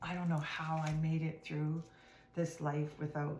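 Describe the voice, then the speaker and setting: With monotone, flat intonation, a woman speaks at a very deep, low pitch. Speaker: tarot card reader. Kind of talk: casual tarot reading to camera. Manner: hesitant with fillers; partly whispering.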